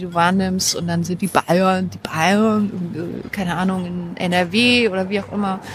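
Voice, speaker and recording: Against noticeable background noise, a woman talks at medium pitch with fairly even intonation. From Thuringia (Weimar), born in Halle. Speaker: media researcher. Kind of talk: casual chat. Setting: outdoor café.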